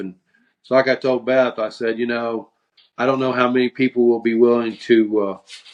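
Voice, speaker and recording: A man is talking. His voice is pitched at a medium level. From US Midwest, southwest Missouri. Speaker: podcast co-host. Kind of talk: casual chat. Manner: monotone.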